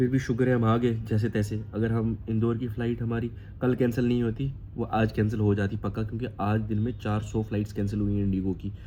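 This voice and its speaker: At a moderate pace and with hardly any pauses, a man speaks in monotone, flat intonation. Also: fairly low pitch for a man. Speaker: vlogger and stage performer. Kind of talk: casual travel vlog.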